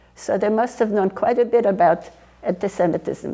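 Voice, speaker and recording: A woman with a fairly high pitch, amid noticeable background noise. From Poland (near Warsaw). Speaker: Holocaust survivor. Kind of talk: oral history interview.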